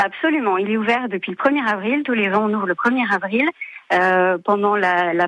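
This woman's voice sits at a fairly high pitch, with a bright, sharp tone and ordinary pitch variation. The recording is dry and close, with no echo. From France, Chartres area (Beauce). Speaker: château manager. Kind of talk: radio interview. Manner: hesitant, frequent fillers and repetitions.

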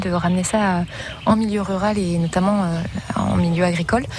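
Noticeable background noise accompanies a woman speaking with fairly even intonation. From Champagne-Ardenne, France. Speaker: organic market gardener. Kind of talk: interview. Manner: halting.

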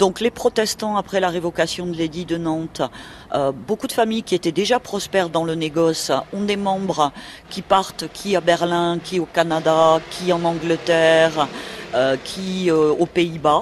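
Here a woman has a normal speaking voice with fairly low pitch. She talks at a fairly slow pace. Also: ordinary pitch variation. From Toulouse, southern France. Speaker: local historian. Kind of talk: radio interview.

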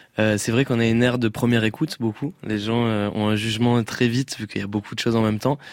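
Speech rushes by at a very fast pace with hardly any pauses and fairly even intonation. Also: man, medium pitch for a man. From southwest France. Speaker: pop singer. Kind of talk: radio interview. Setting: radio studio.

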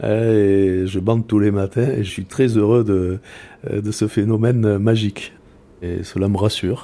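Fairly slow and monotone, a man speaks with a dark, mellow tone at a fairly low pitch. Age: 60s. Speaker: security professional, ex-military. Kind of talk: personal testimony.

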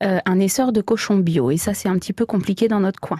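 Recorded with a dry, close sound and no echo, a woman speaks at medium pitch in a dark, mellow tone. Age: 30s. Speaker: farmer and butcher. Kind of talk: radio interview.

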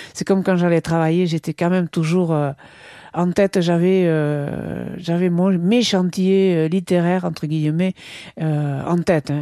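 Against a quiet background, a woman's fairly low voice comes through dry and close with no echo, dark and mellow in tone, in a flat monotone. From French Basque Country, Soule. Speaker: poet and novelist. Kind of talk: interview. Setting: home office. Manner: hesitant.

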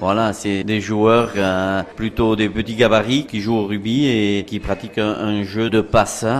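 Over noticeable background noise, a man talks at a fairly slow pace, his pitch fairly low and his intonation fairly even. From Soule, French Basque Country. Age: 50s. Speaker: rugby club president. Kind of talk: interview.

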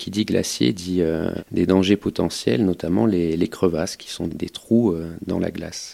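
On a very clean recording with a silent background, a man with a very deep, low pitch and a dark, mellow tone speaks at a fairly slow pace, with ordinary pitch variation and big swings in loudness. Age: 30s. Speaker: mountain rescue doctor. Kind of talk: testimony. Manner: halting, with repetitions and hesitations.

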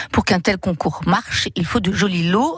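A moderate pace amid noticeable background noise. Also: woman. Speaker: local radio contributor. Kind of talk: casual chat.

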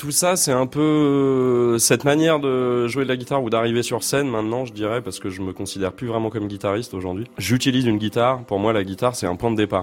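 A man's medium pitch with ordinary pitch variation, at a fairly quick pace. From Essonne, southern suburbs of Paris. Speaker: guitarist and composer. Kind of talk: interview. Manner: halting.

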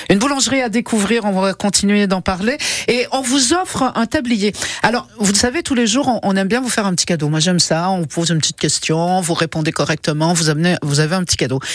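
Against noticeable background noise, a woman with a medium pitch talks very fast, her intonation lively and her loudness very even. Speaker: radio host. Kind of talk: casual chat. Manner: animated.

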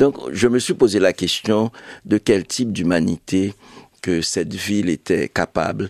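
A man's fairly low voice in a Haitian accent, fairly slow, broken by long, frequent pauses, with a dry, close sound and no echo. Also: ordinary pitch variation. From Haiti, Cavaillon. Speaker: writer and publisher. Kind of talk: interview.

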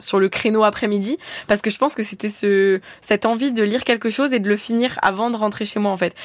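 A woman speaks at a moderate pace, with a medium pitch and ordinary pitch variation. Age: 20s. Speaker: book influencer. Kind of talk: radio interview.

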